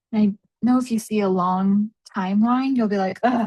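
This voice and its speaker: A woman talks in an ordinary speaking voice with fairly high pitch. Her pace is fairly slow, and the sound is dry and close with no echo. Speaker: math teacher. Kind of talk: tutorial. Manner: casual, chatty.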